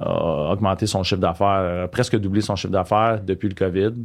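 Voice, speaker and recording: Fairly low male speech at a moderate pace, its intonation fairly even. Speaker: business owner. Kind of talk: interview. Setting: studio. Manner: halting.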